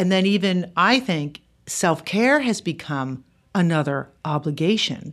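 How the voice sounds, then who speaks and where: A woman talks fairly slowly in an ordinary speaking voice, pitched fairly low. The recording is very clean, with a silent background. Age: 50s. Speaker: author. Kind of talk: casual chat.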